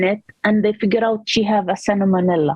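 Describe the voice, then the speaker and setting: A woman speaks with a non-native accent and a somewhat breathy voice. Her pace is moderate. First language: not English. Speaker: panelist, immigrant mother. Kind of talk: personal testimony on panel. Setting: panel event.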